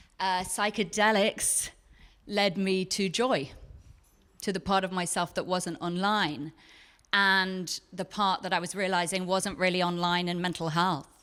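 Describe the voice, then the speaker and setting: Bright, sharp tone in an English accent, fairly slow and fairly even in intonation, on a very clean recording with a silent background. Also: woman, medium pitch for a woman. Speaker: psychotherapist and podcast host. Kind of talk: live onstage conversation. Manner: clear enunciation.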